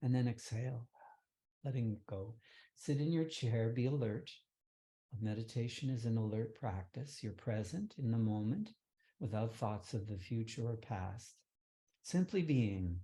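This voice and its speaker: A man speaks at a fairly slow pace with a medium pitch, a dark, mellow tone, a somewhat breathy and calm delivery, ordinary pitch variation, and long, frequent pauses. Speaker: meditation teacher. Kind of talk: guided meditation. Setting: online session. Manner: calm, lowered tone.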